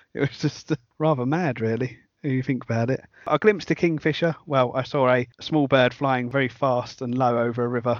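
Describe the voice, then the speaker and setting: A man with a British accent, fairly quick pace and fairly even intonation. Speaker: podcast host. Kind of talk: casual interview chat.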